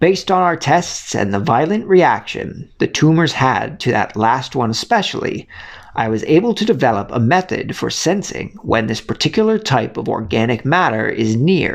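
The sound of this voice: A man puts on a gruff character voice, pitched fairly high. He moves at a moderate pace with hardly any pauses.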